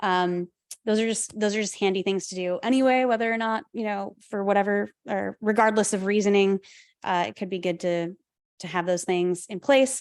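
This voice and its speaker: A woman at medium pitch with fairly even intonation, against a quiet background. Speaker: wildland firefighter and podcast host. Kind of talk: public talk with Q&A. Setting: talk with live audience, recorded via Zoom. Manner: fast.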